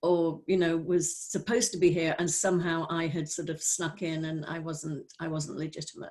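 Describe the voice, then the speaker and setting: A woman speaks with a Welsh accent at a moderate pace. Her pitch is fairly low, and her tone is dark and mellow. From North Wales. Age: 60s. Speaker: spiritual teacher. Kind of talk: personal testimony. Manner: halting.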